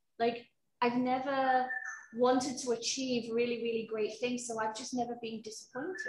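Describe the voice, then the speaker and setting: A woman's high voice at a moderate pace, with audible room echo. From UK. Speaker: HR professional; interview guest. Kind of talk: personal testimony interview; interview answer. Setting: video call from home. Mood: reflective, candid. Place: garden.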